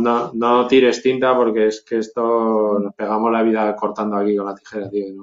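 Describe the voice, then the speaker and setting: At a moderate pace, the speech stays monotone, its intonation flat. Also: man. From Zaragoza, Spain. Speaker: hip hop producer. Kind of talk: casual interview.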